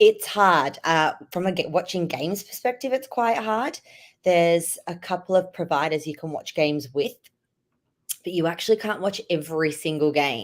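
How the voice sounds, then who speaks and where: A woman with an Australian accent, fairly low in pitch, with lively intonation at a moderate pace, on a very clean recording with a silent background. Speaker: hockey fan guest. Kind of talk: casual interview.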